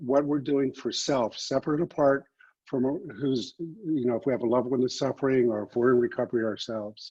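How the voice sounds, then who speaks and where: This man's voice sits at a medium pitch with ordinary pitch variation. The tone is dark and mellow. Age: 60s. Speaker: addiction recovery practitioner. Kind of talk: online panel talk. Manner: hesitant, many fillers.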